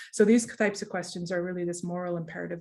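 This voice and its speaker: A woman's somewhat breathy voice, dark and mellow in tone, fairly low in pitch, with fairly even intonation. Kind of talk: online presentation. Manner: fast; hesitant, many fillers.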